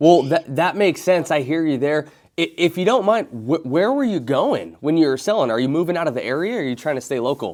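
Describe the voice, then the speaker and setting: In a normal speaking voice, a man with an American accent and fairly high pitch talks at a fairly quick pace with lively intonation and hardly any pauses, on a very clean recording with a silent background. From Oregon. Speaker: real estate agent. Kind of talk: sales cold call.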